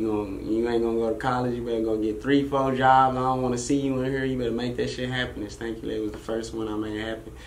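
Speaking at a very fast pace with hardly any pauses, a man keeps a medium pitch and a monotone, flat intonation. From Arlington, Texas (born in Brooklyn); Texas. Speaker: rapper; interview guest. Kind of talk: casual interview. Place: studio. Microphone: studio mic.

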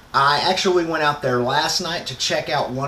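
A man at a moderate pace with audible room echo and light background noise. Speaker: motorcycle vlogger. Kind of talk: casual vlog intro. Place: garage. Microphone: phone near.

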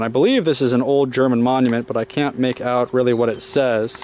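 A man speaks with fairly even intonation. The recording has a dry sound with no echo. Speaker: travel vlogger. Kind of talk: casual travel vlog commentary. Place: street. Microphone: phone near.

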